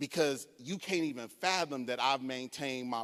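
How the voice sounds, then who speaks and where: The sound is dry and close, with no echo, as a man talks in an animated tone. He goes at a fairly slow pace with ordinary pitch variation. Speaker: conference speaker. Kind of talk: lecture.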